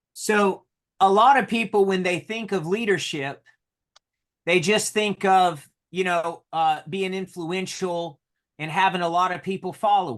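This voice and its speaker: Speaking with a North Carolina accent, the man has a high-pitched voice. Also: ordinary pitch variation, fairly slow pace. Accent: North Carolina country. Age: 30s. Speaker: solar sales leader. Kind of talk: motivational talk with interpreter.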